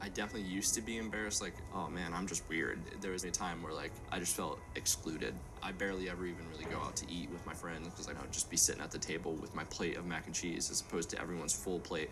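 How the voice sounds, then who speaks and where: Very fast and very deep, a man speaks with an American accent and fairly even intonation. Room echo is audible, and there is noticeable background noise. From Florida, US South (Keystone Heights). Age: 20s. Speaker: documentary subject with selective eating disorder. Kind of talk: documentary interview.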